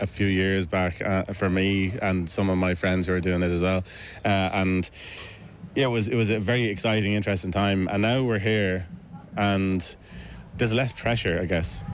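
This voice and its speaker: With a Dublin accent, a man talks at a fairly low pitch amid audible room echo. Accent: Irish (Dublin). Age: 30s. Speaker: folk musician. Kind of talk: casual interview. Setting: backstage at a festival. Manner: halting.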